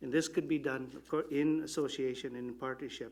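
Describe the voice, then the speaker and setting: The speaker has a Filipino accent and moves at a fairly quick pace. The intonation is monotone and flat. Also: man. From Canada, Yellowknife, Northwest Territories. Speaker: election candidate. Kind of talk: candidate forum answer.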